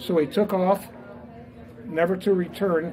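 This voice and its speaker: A man of high pitch at a fairly slow pace, with audible room echo and crowd noise in the background. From Indiana, Fort Wayne area. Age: 80s+. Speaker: business founder and author. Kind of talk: speech to a live audience. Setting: talk at a restaurant event with audience. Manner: hesitant, many fillers.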